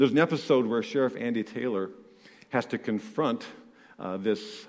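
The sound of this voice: The reading is done in an unforced voice, and its intonation is lively.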